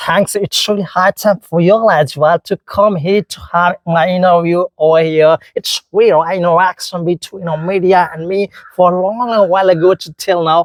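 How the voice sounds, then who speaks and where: The sound is dry and close with no echo as a man with a high voice speaks at a moderate pace, with hardly any pauses and fairly even intonation. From Mithila region, Bihar, India. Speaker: English teacher. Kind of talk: interview. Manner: formal.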